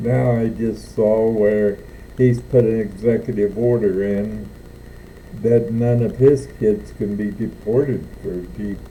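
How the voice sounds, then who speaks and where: A man's fairly low, dark, mellow voice at a very slow pace, with audible room echo. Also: fairly even intonation. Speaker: Navy veteran. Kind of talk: political rant vlog.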